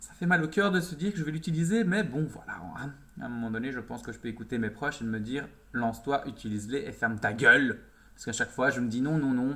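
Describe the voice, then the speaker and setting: A man talks at a very fast pace with lively intonation. His tone is bright and sharp, and his loudness swings a lot. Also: medium pitch for a man. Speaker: makeup youtuber. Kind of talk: makeup tutorial. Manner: animated.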